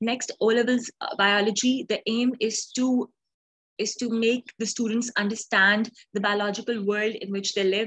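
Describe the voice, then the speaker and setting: Over a quiet background, a woman talks at a moderate pace in a monotone, flat intonation. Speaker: online tutor. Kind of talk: lecture. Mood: friendly, encouraging.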